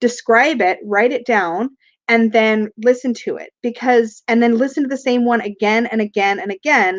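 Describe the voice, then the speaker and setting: In a New York accent, a woman speaks at a fairly high pitch with ordinary pitch variation, in a dry, close sound with no echo. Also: moderate pace. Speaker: tarot reader and spiritual teacher. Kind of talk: live stream chat answering viewer questions. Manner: casual and conversational.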